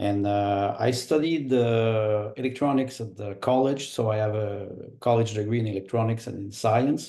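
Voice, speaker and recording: With a Quebec accent, a man speaks at a moderate pace and medium pitch. His tone is dark and mellow, and his intonation fairly even. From Quebec, Montreal. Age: 60s. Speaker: political candidate. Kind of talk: interview. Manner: halting, many fillers.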